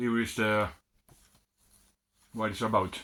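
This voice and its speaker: A Swedish accent on a very clean recording with a silent background. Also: man. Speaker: retro computer hobbyist. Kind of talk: unboxing video. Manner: halting.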